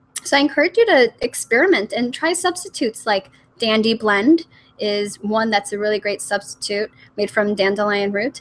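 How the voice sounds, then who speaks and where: A woman speaks at a moderate pace and a fairly high pitch. Her intonation is lively. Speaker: nutrition coach. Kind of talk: webinar presentation. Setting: online webinar.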